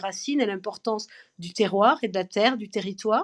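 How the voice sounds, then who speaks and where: Fairly quick in pace, a woman talks with ordinary pitch variation. The sound is dry and close, with no echo. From southern France, Perpignan (Catalan). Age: 50s. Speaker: French teacher and grandmother. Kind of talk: podcast interview. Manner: hesitant, many fillers.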